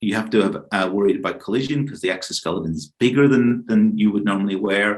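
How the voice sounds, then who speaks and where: This man talks at a very fast pace in a fairly low pitch. His pitch variation is ordinary. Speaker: robotics professor. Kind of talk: keynote lecture. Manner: halting, many fillers.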